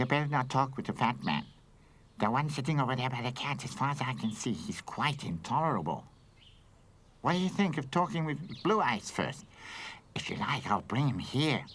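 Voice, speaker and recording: A man puts on a cartoonish character voice at a medium pitch. He leaves long, frequent pauses. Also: fairly quick pace, lively intonation. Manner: chatty, fussy.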